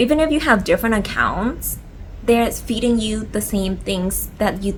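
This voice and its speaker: Audible room echo and noticeable background noise around a speaking woman. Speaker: lifestyle vlogger. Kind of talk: casual chat. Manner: halting, many fillers; stuttering a little from cold.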